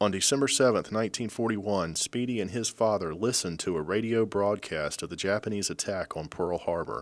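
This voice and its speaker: In a very clean recording with a silent background, a man with a plain, everyday voice speaks fairly quickly at a fairly low pitch with ordinary pitch variation and hardly any pauses. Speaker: news reporter. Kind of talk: news narration.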